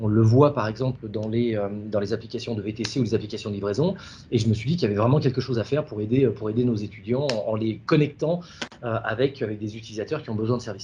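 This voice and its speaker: Very fast speech from a man, medium in pitch with ordinary pitch variation, somewhat breathy, with a dark, mellow tone. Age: 40s. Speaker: startup founder. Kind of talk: interview. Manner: halting, many fillers.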